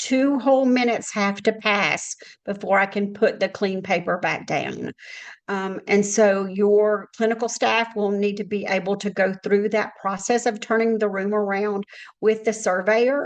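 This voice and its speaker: Speaking at a fairly slow pace, a woman has an unremarkable speaking voice, a medium pitch and fairly even intonation. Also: quiet background. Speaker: healthcare compliance consultant. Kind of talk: webinar presentation. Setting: online webinar.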